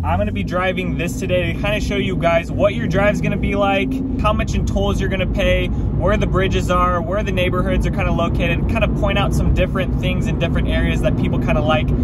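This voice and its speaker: A man at a very fast pace with hardly any pauses, dry sound with no echo, loud background noise. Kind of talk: casual driving tour commentary. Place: car.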